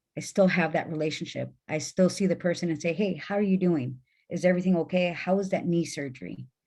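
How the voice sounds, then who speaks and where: Speaking at a moderate pace, a woman has a strong Mexican accent. Her voice is fairly low in pitch, with a dark, mellow tone and fairly even intonation. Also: very clean recording, silent background. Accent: Mexican accent, fairly thick. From Mexican-American, US Midwest. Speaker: trafficking survivor, panelist. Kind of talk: panel discussion. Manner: emphatic.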